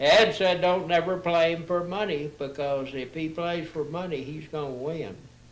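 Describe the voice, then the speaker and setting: A man with a high voice talks in a room with audible echo, and there is noticeable noise behind him. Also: fairly even intonation, moderate pace, hardly any pauses. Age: 80s+. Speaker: retired railroad worker. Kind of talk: casual chat. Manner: halting.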